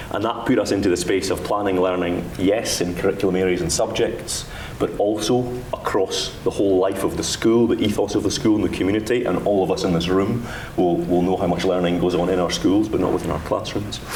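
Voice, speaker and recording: A man with a Dundee accent at a fairly quick pace and fairly low pitch, with fairly even intonation, very even loudness, audible room echo and noticeable background noise. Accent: Dundee Scottish. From Scotland, Dundee. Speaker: education official. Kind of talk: conference panel talk.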